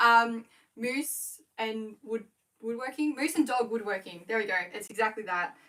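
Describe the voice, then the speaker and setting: At a fairly slow pace, a woman with an Australian accent talks in a fairly high pitch with ordinary pitch variation. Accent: Australian, with a twang. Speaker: small business owner, scrunchie maker. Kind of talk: casual livestream chat. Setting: home livestream, working while talking.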